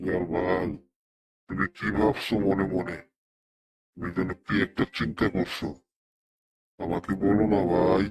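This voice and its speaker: Using a cartoonish character voice, a man speaks at a fairly slow pace with a very deep, low pitch. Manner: earnest, moralizing.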